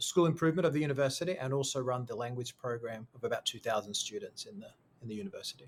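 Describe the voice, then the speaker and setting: In an Australian accent, the speaker talks at a very fast pace, somewhat breathy, with lively intonation and big swings in loudness. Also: man, fairly high pitch for a man. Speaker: school founder and education consultant. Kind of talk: podcast interview.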